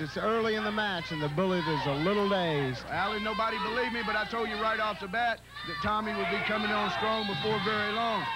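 Raising and projecting his voice, a man speaks at a fairly quick pace in a high pitch over noticeable background noise. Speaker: wrestling color commentator. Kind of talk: live wrestling color commentary. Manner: partisan, cheering on a favored wrestler.

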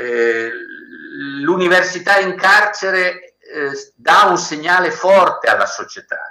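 A man with a high pitch projects a raised voice at a very slow pace amid audible room echo. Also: quiet background. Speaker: professor. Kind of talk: formal address. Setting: video call. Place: home room. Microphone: video call.

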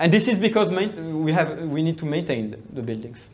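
This man speaks with a high pitch at a moderate pace. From Brazil. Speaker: researcher; lecturer. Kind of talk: lecture. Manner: halting. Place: classroom. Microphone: camera far.

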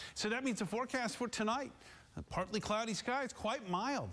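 A man speaks with an American accent. His pace is fairly quick. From US Midwest. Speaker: TV meteorologist. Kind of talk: live TV weather forecast, scripted-ish broadcast delivery. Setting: TV studio. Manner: upbeat, breezy and chatty, greeting towns like old friends; brisk, rattles off temperatures and city names quickly. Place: studio.

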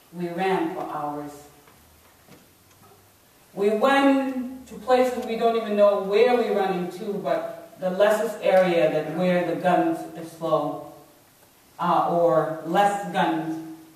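A woman speaks at a very slow pace with long, frequent pauses, her voice carrying strong room echo. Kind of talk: personal testimony talk. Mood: solemn, measured storytelling. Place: hall. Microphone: camera far.

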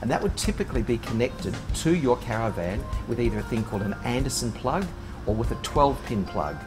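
A man talking at a very fast pace, with clear music in the background. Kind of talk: tutorial. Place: workshop.

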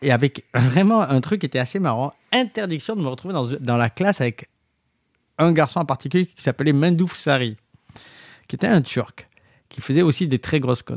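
A lively intonation carries a fairly quick pace broken by long, frequent pauses. The sound is dry and close, with no echo. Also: man, fairly high pitch for a man. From southwestern France, Montauban area. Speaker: designer and entrepreneur. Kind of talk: interview, casual storytelling.

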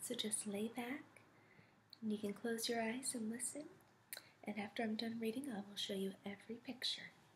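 Whispering in a soft-spoken, somewhat breathy way, a woman keeps a very even loudness at a moderate pace over light background noise. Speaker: storyteller. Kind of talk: bedtime story reading. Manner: soft whispered ASMR voice. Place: home room. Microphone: webcam.

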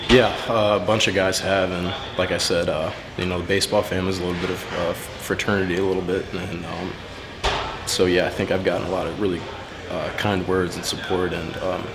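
Amid loud background noise, a man speaks at a fairly quick pace. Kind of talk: interview answer. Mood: subdued, emotional. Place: hall. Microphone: handheld.

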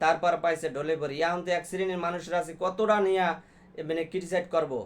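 A man talks with a high-pitched voice. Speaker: YouTube commentator. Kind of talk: monologue commentary.

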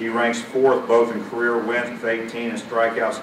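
A man's fairly slow speech amid audible room echo and noticeable background noise. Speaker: master of ceremonies. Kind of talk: ceremony presentation. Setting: banquet with audience. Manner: formal. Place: hall. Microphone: podium.

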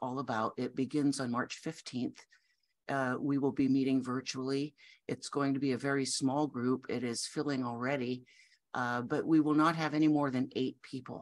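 A woman's very deep, low voice with ordinary pitch variation, at a moderate pace against a quiet background. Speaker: grief coach. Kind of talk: promotional talk to camera. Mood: warm, gentle. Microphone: webcam.

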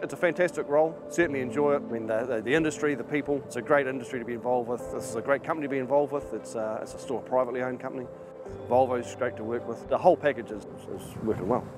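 Over clear background music, a man talks at a very fast pace with ordinary pitch variation, recorded dry with no echo. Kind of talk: interview answer. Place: forest. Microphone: lapel.

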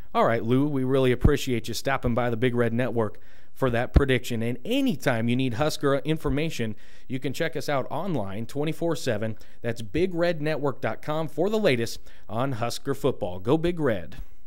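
A man with an American accent speaks in an animated, upbeat tone at a moderate pace. His pitch is medium, with ordinary variation. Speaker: weather forecaster and sports fan host. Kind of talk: casual, jokey weathercast for football fans, with tailgate tips. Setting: video weathercast. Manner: animated, upbeat, playful.

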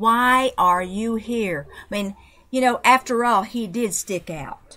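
A woman with a Southern accent at fairly high pitch, bright and sharp in tone, very slow, with ordinary pitch variation and big swings in loudness, on a very clean recording with a silent background. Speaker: researcher and reconciliation advocate. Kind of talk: interview storytelling.

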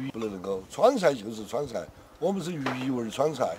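A man's fairly high-pitched voice with very wide pitch swings at a moderate pace, over noticeable background noise. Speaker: veteran chef. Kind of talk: casual chat.

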